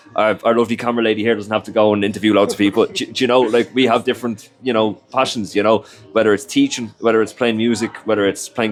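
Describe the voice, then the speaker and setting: Someone with a Dublin accent speaks at a very fast pace in a monotone, flat intonation with music in the background. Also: man. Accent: Irish (Dublin). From Ireland, Dublin/Leinster area. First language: Irish. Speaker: recruitment consultant and musician. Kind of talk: interview. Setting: in-person filmed interview. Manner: conversational with frequent fillers.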